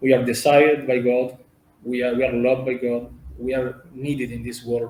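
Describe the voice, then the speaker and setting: With an Italian accent, a man speaks at a fairly slow pace. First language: Italian or Spanish. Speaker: representative of a cultural and humanitarian organization. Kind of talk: interview. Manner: halting.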